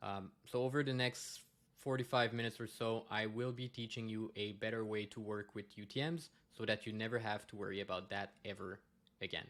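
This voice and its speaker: Bright and sharp in tone, a man with a fairly low pitch and a French-Canadian accent speaks at a fairly quick pace with fairly even intonation. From Quebec, Montreal. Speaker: data consultant. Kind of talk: conference presentation. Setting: conference talk. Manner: hesitant, many fillers.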